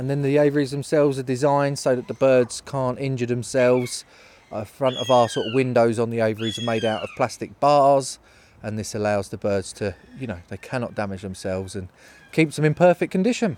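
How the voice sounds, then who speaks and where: Using a southeast English accent, a man speaks at a fairly quick pace with ordinary pitch variation. His pitch is medium, and noticeable background noise can be heard. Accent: south-east English. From southern England, near London. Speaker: falconer. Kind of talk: casual interview on location.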